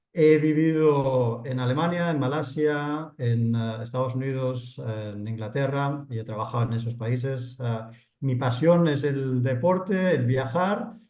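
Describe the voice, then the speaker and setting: A man talks at a fairly slow pace with hardly any pauses. Audible room echo surrounds his voice. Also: medium pitch for a man, ordinary pitch variation. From Spain, Barcelona. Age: 50s. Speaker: entrepreneur. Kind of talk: podcast interview. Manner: hesitant, many fillers.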